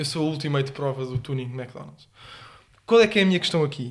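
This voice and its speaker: There's a somewhat breathy quality to this man's fairly high-pitched voice. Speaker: podcast co-host. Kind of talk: casual chat.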